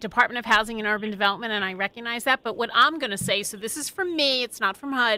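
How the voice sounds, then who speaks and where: In a Philadelphia accent, a woman talks at a very fast pace with hardly any pauses. Her tone is bright and sharp, her pitch fairly high, with ordinary variation. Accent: Philly. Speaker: radio host. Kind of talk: radio interview.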